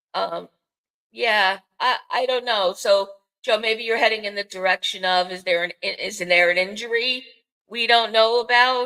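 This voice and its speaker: With a Bronx accent and a bright, sharp tone, a woman speaks at a moderate pace in a fairly high pitch with fairly even intonation, recorded very cleanly with a dry, close sound, no echo and a silent background. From New York City, the Bronx. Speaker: podcast host. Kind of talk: casual chat. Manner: halting, many fillers.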